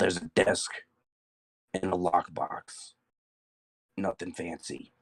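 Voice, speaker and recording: In a put-on character voice, a man speaks at a fairly slow pace in a very deep, low, raspy pitch with long, frequent pauses, the sound dry and close with no echo. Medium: actual play. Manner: curt, dry.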